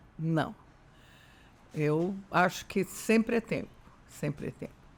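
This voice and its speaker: Her pace very slow, a woman speaks at a medium pitch with ordinary pitch variation. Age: 70s. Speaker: retired dentist, podcast guest. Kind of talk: interview conversation.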